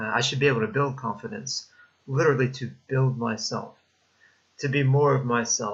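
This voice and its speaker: A somewhat breathy man speaks at a medium pitch with fairly even intonation. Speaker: vlogger. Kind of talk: personal vlog monologue.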